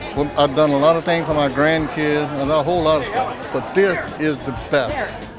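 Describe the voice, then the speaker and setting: A man speaks at a moderate pace with fairly high pitch. Crowd noise is in the background, and room echo is audible. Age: 70s. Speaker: former city employee, park naming advocate. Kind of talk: interview.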